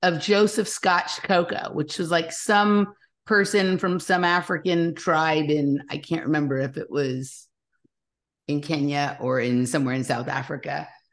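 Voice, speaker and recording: A woman speaks with a Californian accent at a moderate pace. Her pitch swings very widely, and the background is quiet. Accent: Californian American. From Los Angeles, US. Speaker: podcast host. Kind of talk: casual interview chat.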